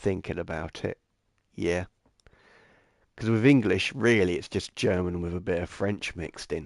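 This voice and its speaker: A man at a moderate pace, very deep and low in pitch, with fairly even intonation. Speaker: gaming livestreamer and virtual photographer. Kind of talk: casual livestream chat. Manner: halting, many fillers and restarts.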